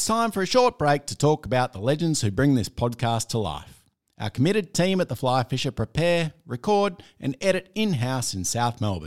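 Very wide pitch swings mark this moderate-paced delivery with hardly any pauses, recorded very cleanly against a silent background with a dry, close sound and no echo. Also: man, medium pitch for a man. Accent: Australian. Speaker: podcast host. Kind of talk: casual chat.

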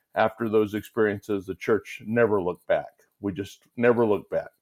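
This man has an unremarkable speaking voice, fairly low in pitch, at a fairly quick pace. His intonation is fairly even, and the sound is dry and close with no echo. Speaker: pastor and guest co-host. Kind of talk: casual interview chat.

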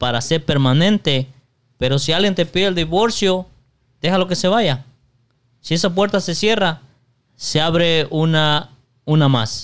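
A man at a moderate pace, with long, frequent pauses, ordinary pitch variation and very even loudness. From Mexico. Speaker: podcast co-host. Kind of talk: casual chat.

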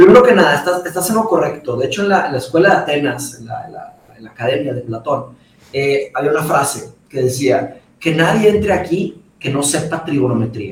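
Over noticeable background noise and audible room echo, a man with a fairly high pitch talks at a fairly quick pace, his intonation lively and his loudness swinging widely. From Monterrey, northern Mexico (born in Brazil). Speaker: philosophy commentator. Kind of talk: casual chat.

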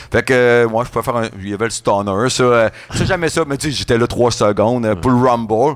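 Using a normal speaking voice, a man talks at a moderate pace and medium pitch, with ordinary pitch variation. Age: 40s. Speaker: radio host and event organizer. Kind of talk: casual chat.

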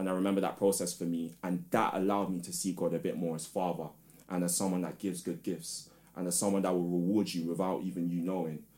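Speaking very fast with a London accent, a man has a very deep, low pitch. His tone is dark and mellow, and his intonation is monotone and flat. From London, England. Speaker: spoken word artist and teacher. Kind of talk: casual chat.

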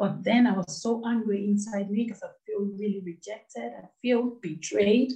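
Her somewhat breathy voice has a dark, mellow tone and a medium pitch with ordinary pitch variation, moving at a moderate pace with hardly any pauses and big swings in loudness. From Nigeria. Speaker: anti-FGM advocate and charity founder. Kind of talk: interview, personal testimony.

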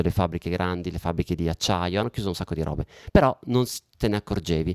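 With a dry, close sound and no echo, a man speaks at a very fast pace. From Italy. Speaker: comedian. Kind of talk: casual chat. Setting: home studio.

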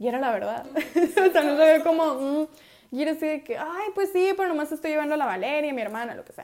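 Animated in tone and lively in intonation, a woman talks at a fairly quick pace. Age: 20s. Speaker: podcast host. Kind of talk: casual chat. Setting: at home with family.

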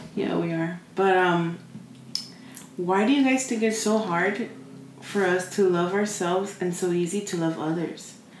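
A woman speaks at a fairly slow pace with a medium pitch and ordinary pitch variation. Noticeable background noise and audible room echo come through. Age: 20s. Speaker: podcast co-host. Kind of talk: casual chat.

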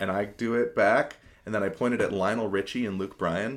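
On a very clean recording with a silent background, a man in an American accent speaks at a fairly quick pace with ordinary pitch variation in an ordinary speaking voice. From Spokane, Washington. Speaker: musician. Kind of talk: casual chat.

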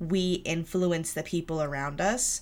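A woman's unremarkable speaking voice, fairly low in pitch with ordinary pitch variation, in a very clean recording with a silent background. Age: 20s. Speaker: podcast host. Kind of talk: solo monologue about personal growth. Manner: casual, with filler words.

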